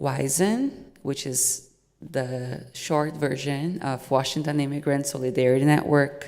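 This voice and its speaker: Speaking with a Portuguese accent, a woman uses a very deep, low pitch and fairly even intonation at a fairly slow pace. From Brazil. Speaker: nonprofit development manager. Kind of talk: prepared speech read aloud.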